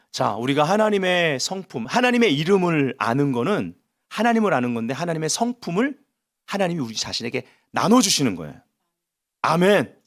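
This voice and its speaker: In a very clean recording with a silent background, a man speaks in an animated tone at a moderate pace. His voice is high-pitched for a man and swings very widely in pitch. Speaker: pastor. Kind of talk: sermon. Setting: church prayer meeting with audience. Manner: loud.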